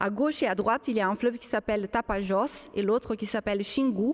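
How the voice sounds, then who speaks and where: A woman speaks with a Brazilian accent at a fairly high pitch, with ordinary pitch variation. The recording is very clean, with a silent background. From Brazil, São Paulo countryside. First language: Portuguese (speaking French). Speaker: archaeologist. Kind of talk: public panel discussion. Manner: halting, many hesitations.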